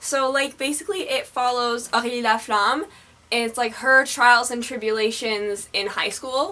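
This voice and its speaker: An animated woman's high voice at a moderate pace, with noticeable background noise. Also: ordinary pitch variation. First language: French. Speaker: book vlogger. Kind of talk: casual vlog.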